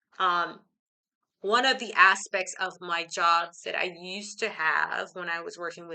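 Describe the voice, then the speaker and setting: A woman with an American accent speaks at a fairly low pitch in a bright, sharp tone. She talks at a fairly slow pace. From Belize and United States. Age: 40s. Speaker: life coach and teacher, video host. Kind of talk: talking-head vlog monologue. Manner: hesitant, many fillers.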